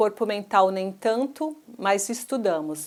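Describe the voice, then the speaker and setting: This woman has a plain, everyday voice. Her pitch is medium, with ordinary pitch variation. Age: 60s. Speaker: church minister and physical educator. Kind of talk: testimony.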